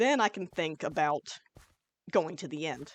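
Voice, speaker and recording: A woman at a fairly slow pace, lively in her intonation, with a dry, close sound and no echo. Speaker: gaming YouTuber. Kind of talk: let's play commentary. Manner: loud; casual, chill.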